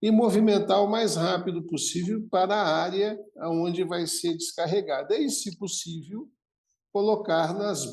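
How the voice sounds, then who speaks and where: This man talks fairly slowly. His pitch variation is ordinary. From Brazil, Santos (São Paulo). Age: 60s. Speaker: logistics executive. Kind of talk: podcast interview.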